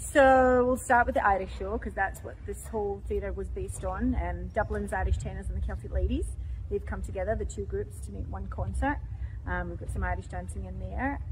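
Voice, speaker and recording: Audible room echo surrounds a woman with an American accent who talks at a fairly quick pace. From Scotland. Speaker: show director and former Irish dancer. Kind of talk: casual interview chat.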